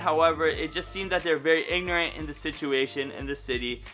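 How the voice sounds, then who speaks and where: Very fast speech from a man, with music in the background. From Canada, St. Catharines, Ontario. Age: 30s. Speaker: YouTuber. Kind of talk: casual vlog monologue.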